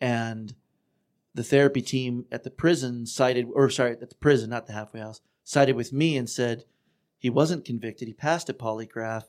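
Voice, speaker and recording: A man talks at a fairly quick clip in a normal speaking voice, his pitch medium and his intonation fairly even. His loudness swings widely from moment to moment. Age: 40s. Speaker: former client of offender treatment program. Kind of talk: casual chat.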